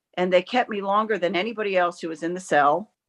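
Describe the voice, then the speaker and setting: The recording is dry and close with no echo, capturing an unremarkable speaking voice with ordinary pitch variation. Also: woman. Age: 60s. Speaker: member of the public giving testimony at a hearing. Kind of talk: testimony. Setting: video call.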